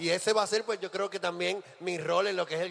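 A man talks in an animated tone over noticeable background noise. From Puerto Rico, Ponce. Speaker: drag performer and emcee. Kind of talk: stage hosting. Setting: stage with live audience.

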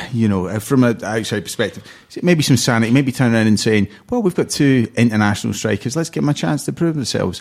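Talking at a very fast pace, a man uses lively intonation at a medium pitch. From Cornwall, England. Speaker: former footballer. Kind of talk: casual chat.

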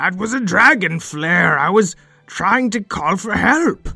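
A put-on, raspy character voice from a man, high in pitch and fairly slow in pace, with faint music in the background. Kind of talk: comic overacting. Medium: audio drama. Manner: blustering, grandiose.

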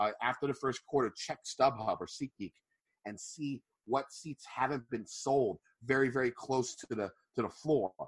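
The voice is somewhat breathy, moving at a moderate pace with ordinary pitch variation in a dry, close sound with no echo. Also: man, medium pitch for a man. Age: 30s. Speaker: podcaster. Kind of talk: casual chat. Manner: hesitant with fillers.

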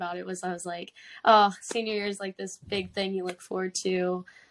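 Someone with an American accent talks at a fairly quick pace in a plain, everyday voice. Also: woman. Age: 20s. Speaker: professional soccer player. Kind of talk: interview. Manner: casual.

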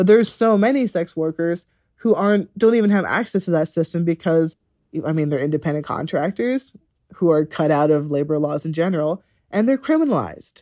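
A woman's fairly low voice, lively in intonation, dark and mellow in tone, with a dry, close sound and no echo. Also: very clean recording, silent background. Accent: American. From rural US. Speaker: labor reporter and author. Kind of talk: interview. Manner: animated.

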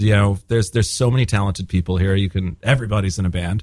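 Words come from a man at a very fast pace. There is some breathiness in his voice. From Spain. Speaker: singer-songwriter and bandleader. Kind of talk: casual interview. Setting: radio studio.

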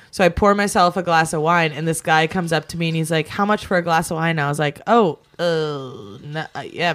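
On a very clean recording with a silent background, a woman uses a normal speaking voice, fairly low in pitch, at a moderate pace. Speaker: podcast co-host. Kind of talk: casual chat.

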